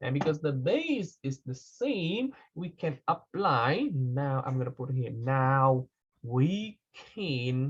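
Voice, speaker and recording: Speaking at a very slow pace, a man sounds somewhat breathy, with fairly high pitch and lively intonation. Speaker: math teacher. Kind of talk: lecture.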